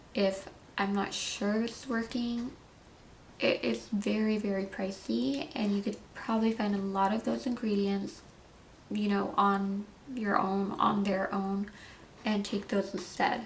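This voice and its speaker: This woman's medium-pitched voice comes through with noticeable background noise behind it. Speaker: beauty and wellness vlogger. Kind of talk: product review. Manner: casual with fillers.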